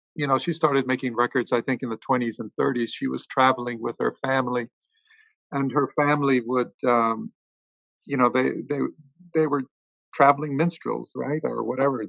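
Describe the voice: At a moderate pace, a man talks with medium pitch, vocal fry, fairly even intonation and a fairly bright tone, in a dry, close sound with no echo.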